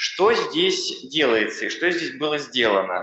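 A man is speaking. Room echo is audible. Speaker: accelerator program expert; panelist, expert council member. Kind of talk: panel talk. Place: hall. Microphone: podium.

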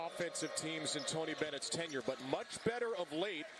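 Loud background noise fills a dry, echo-free recording of a man talking at a fairly quick pace in an animated, energetic tone, his fairly high voice showing ordinary pitch variation. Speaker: play-by-play broadcaster. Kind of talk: live sports commentary. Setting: arena broadcast from courtside. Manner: fast, animated play-by-play delivery; energetic, rising on big plays. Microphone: headset.

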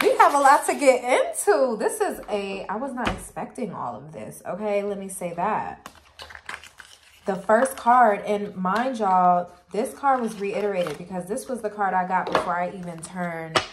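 Amid noticeable background noise, a woman speaks at a moderate pace with lively intonation. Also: big swings in loudness. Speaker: tarot reader. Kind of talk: casual tarot reading chat. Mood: upbeat, laughing. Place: home room. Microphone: phone near.

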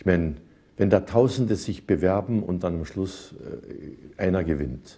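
A man with a very deep, low pitch and a dark, mellow tone sounds somewhat breathy, talking at a moderate pace with ordinary pitch variation. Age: 70s. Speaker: composer, singer, entertainer. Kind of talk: interview answer. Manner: thoughtful, humorous. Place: cafe. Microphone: lapel.

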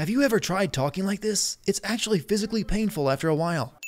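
A man puts on a character voice, high-pitched and breathy. He talks at a very fast pace with lively intonation. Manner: strained, affected.

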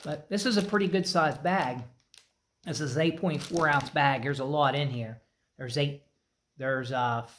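A man's pitch varies in an ordinary way at a moderate pace, with light noise in the background. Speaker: snack reviewer. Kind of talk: casual review vlog chat. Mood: relaxed, mildly pleased. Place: garage. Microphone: phone near.

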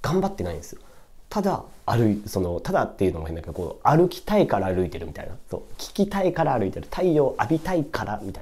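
Talking at a very fast pace, a man makes big swings in loudness. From Tokyo, Japan. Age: 20s. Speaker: YouTuber reviewing books; book review vlogger. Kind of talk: casual solo monologue book review; casual vlog chat. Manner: rambling, filler-heavy. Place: home room. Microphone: camera far.

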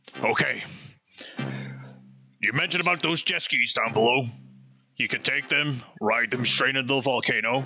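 A man's gruff put-on character voice at medium pitch and a moderate pace, with long, frequent pauses and faint music in the background. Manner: panicked, then gruffly resolute.

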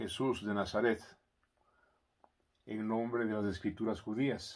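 A man with a medium-pitched voice talks against a quiet background. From Ecuador. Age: 70s. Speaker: commentator; commentator on philosophy. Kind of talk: editorial commentary; reflective monologue commentary. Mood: calm, earnest, reflective. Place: home room. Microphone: phone near.

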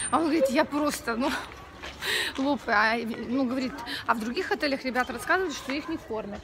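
A woman's raised, projected voice at a fairly quick pace, with crowd noise in the background. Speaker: vlogger. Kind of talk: casual vlog chat. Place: street. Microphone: phone near.

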